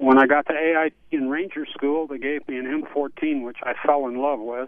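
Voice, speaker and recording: A man with a normal speaking voice talks at a fairly quick pace and a fairly high pitch, with fairly even intonation and big swings in loudness. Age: 60s. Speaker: caller, Vietnam veteran. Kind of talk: radio call-in.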